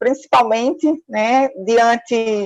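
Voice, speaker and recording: In a Pernambuco accent, a woman speaks with fairly even intonation in a dry, close sound with no echo. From Pernambuco, Brazil. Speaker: forensic nurse and professor. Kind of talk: lecture.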